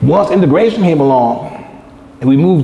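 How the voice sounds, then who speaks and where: A man's lively intonation at a fairly quick pace, with audible room echo and noticeable background noise. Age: 60s. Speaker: lecturer. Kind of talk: lecture.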